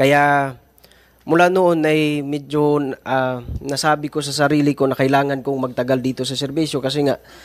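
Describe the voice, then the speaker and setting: This man's fairly high pitch comes at a moderate pace. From Mindanao (Talaingod, Davao del Norte); Davao del Norte. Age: 30s. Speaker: former community teacher. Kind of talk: testimony at a hearing. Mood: earnest, measured. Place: hall. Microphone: podium.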